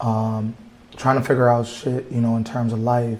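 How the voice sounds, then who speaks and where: A man with an American accent speaks at medium pitch in a somewhat breathy voice. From Racine, Wisconsin. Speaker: mixed media artist. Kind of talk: interview.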